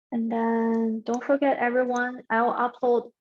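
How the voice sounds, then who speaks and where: With a non-native accent, a woman speaks at a fairly high pitch. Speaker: peer accounting tutor. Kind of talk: exam review session. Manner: halting.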